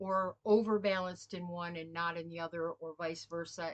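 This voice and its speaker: An ordinary speaking voice carries fairly even intonation while keeping a moderate pace. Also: woman. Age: 60s. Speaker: spiritual healer and former pastor. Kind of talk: casual spiritual talk. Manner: informal, storytelling.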